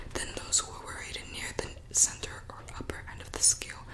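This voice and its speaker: A woman whispers at a moderate pace while noticeable background noise carries on behind her. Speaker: student. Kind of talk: reading of academic notes aloud in English. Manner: soft-spoken, quiet.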